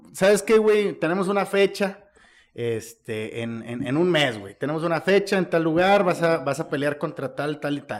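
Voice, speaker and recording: A man with a high pitch speaks at a fairly slow pace. His intonation is lively, and his loudness swings a lot. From Mexico, Monterrey. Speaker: podcast host. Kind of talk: casual chat.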